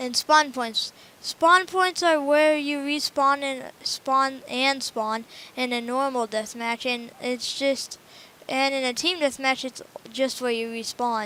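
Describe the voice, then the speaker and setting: A woman speaks very slowly in a high, raised and projected voice with ordinary pitch variation. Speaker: gaming youtuber. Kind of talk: tutorial. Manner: halting, self-correcting; casual.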